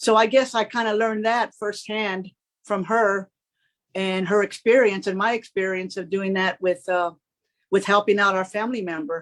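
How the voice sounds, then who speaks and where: A woman with an American accent talks at a moderate pace in a plain, everyday voice, with medium pitch and fairly even intonation. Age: 60s. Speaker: home care worker. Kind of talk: panel discussion.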